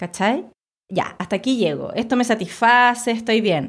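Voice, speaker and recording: On a very clean recording with a silent background, a woman with a Chilean accent speaks at a moderate pace in a fairly high pitch with lively intonation. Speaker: visual artist. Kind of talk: casual chat.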